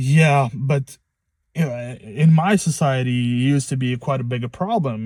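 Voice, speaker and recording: With a non-native accent, the speaker uses a dark, mellow tone and fairly even intonation on a very clean recording with a silent background. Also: man. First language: not English. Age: 20s. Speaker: first-time vlogger. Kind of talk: casual monologue vlog. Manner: halting, many fillers and restarts.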